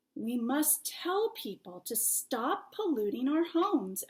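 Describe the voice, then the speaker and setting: A woman uses a put-on character voice, high in pitch. It moves at a fairly slow pace with very wide pitch swings. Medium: read story.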